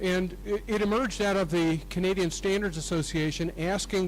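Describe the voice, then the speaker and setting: Audible room echo carries a man's voice at a moderate pace with ordinary pitch variation. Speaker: professor. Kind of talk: conference talk. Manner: loud; halting.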